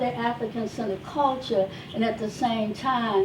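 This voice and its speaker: A woman speaks loudly at a moderate pace with ordinary pitch variation. Noticeable background noise runs underneath. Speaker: wellness speaker and life coach. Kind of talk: testimony.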